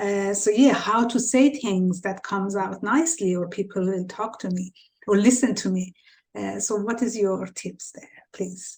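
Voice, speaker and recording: A woman speaks in a somewhat breathy voice at a medium pitch, with ordinary pitch variation, on a very clean recording with a silent background. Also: fairly slow pace. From Iran. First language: Farsi. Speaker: podcast host. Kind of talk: interview.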